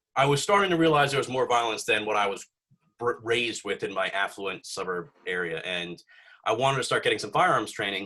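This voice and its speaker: A man speaks at a fairly quick clip with a bright, sharp tone and very wide pitch swings. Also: medium pitch for a man. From US Northeast, North Jersey. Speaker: YouTuber with a doctorate. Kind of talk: casual chat. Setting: podcast. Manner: halting.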